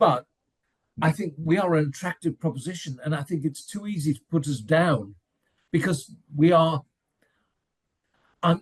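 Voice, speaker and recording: Somewhat breathy, a man with an English accent speaks at a moderate pace. His pitch is fairly high. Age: 70s. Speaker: football fan pundit. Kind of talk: casual chat. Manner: animated.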